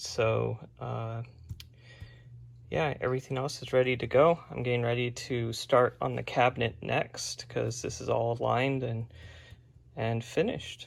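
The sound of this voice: A man's medium-pitched voice with vocal fry, at a fairly slow pace.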